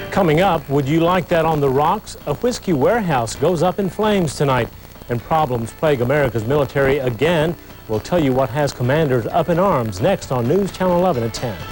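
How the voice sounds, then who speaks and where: Over music in the background, a man with a fairly high pitch talks at a fairly quick pace with lively intonation and very even loudness. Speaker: news anchor. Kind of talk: TV news anchor interview.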